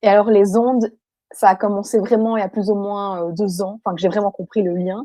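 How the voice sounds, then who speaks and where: A woman speaks at a fairly quick pace and a medium pitch. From Belgium. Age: 20s. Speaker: person with electrohypersensitivity. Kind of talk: testimony interview. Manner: hesitant, many fillers.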